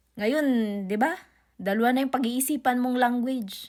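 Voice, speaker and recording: Over a silent background in a very clean recording, the speech moves at a moderate pace with fairly even intonation. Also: woman. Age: 30s. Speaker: vlogger. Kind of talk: casual vlog monologue. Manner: halting.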